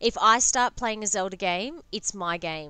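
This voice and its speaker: A loud woman's voice, bright and sharp in tone, at a fairly slow pace. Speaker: gaming live streamer. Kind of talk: live game stream chat. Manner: animated.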